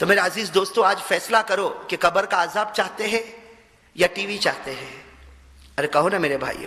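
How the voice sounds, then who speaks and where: In a raised, projected voice, a high-pitched man speaks with a passionate tone, leaving long, frequent pauses amid noticeable background noise. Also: ordinary pitch variation. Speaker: Islamic preacher. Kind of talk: Islamic sermon (bayan) to a live audience. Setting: mosque address with audience responding. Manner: passionate, rhetorical, asking the audience questions.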